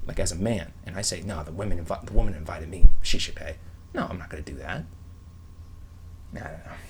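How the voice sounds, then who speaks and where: A man speaks at a very fast pace in a very deep, low voice with ordinary pitch variation. Room echo is audible. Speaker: online video creator. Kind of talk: casual vlog monologue. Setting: bedroom at home. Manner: whispering.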